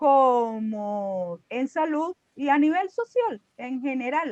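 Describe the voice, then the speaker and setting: This woman speaks. Her intonation is lively. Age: 60s. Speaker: student in an online class. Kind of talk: class discussion.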